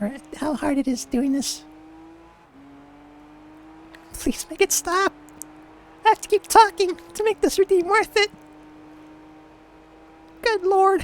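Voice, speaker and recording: A woman puts on a strained character voice at an extremely high pitch. She talks at a fairly slow pace with long, frequent pauses. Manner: nerdy.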